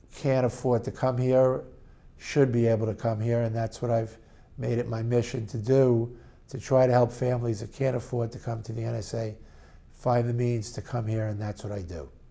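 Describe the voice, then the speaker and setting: A man with a New York accent, medium in pitch, dark and mellow in tone, monotone and flat, at a moderate pace. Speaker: parent of a child who stutters. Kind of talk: testimony.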